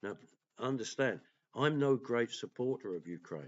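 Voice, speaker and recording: A man at a moderate pace with lively intonation. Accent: English. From England. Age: 60s. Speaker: political commentator and vlogger. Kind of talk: opinion monologue. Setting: at home.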